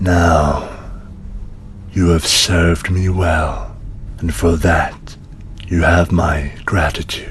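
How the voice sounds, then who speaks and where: A man's put-on character voice, very deep and low, at a very slow pace with long, frequent pauses and clear background noise. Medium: actual play. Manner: slow, cold, solemn.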